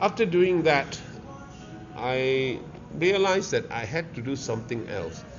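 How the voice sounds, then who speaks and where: Over music in the background, a man with a Malaysian accent talks at a fairly high pitch, his voice making very wide pitch swings between long, frequent pauses. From Malaysia, Kuala Lumpur (Pudu). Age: 70s. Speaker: restaurateur. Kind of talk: interview. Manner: halting.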